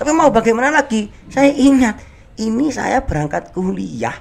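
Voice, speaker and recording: This man speaks with an East Javanese accent. His pace is fairly slow. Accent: East Javanese Indonesian. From Indonesia, Banyuwangi, East Java. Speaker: Japanese language teacher. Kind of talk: casual podcast interview. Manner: hesitant with repetitions.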